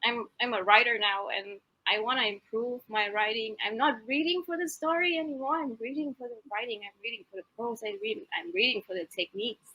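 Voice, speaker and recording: A woman with a non-native accent, at a moderate pace and with lively intonation. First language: not English. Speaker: author. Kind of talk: casual chat.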